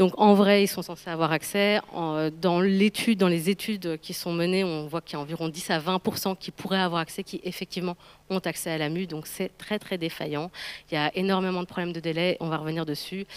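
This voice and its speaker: Fairly quick, monotone, flat delivery with a dry, close sound and no echo. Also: woman, fairly low pitch for a woman. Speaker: public health practitioner at an NGO. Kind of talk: conference presentation. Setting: round table with audience. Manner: fast.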